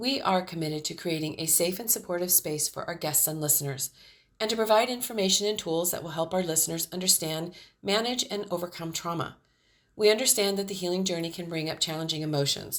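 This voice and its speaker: In a very clean recording with a silent background, a woman with a fairly low pitch talks very fast with ordinary pitch variation. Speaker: podcast host. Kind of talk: podcast disclaimer read.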